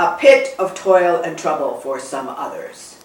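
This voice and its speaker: A woman's put-on character voice, medium in pitch and fairly slow, with slight echo. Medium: read story. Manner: chatty, knowing.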